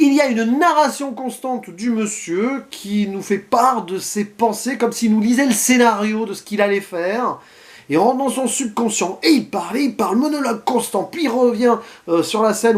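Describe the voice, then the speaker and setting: A man's extremely high-pitched voice at a moderate pace, with ordinary pitch variation. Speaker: film critic vlogger. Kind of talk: unscripted film review monologue to camera. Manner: spontaneous, with stumbles and hesitations.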